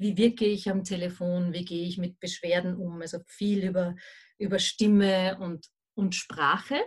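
A woman speaks at a moderate pace. Her voice is somewhat breathy, with fairly even intonation. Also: medium pitch for a woman. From Austria, Vienna. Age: 40s. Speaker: remote work consultant. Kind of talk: interview.

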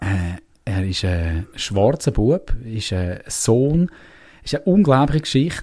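Speaking with an Uri accent, a man moves through very wide pitch swings. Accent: Uri Swiss German dialect. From Switzerland, canton of Uri. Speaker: theatre maker and musician. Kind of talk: casual interview.

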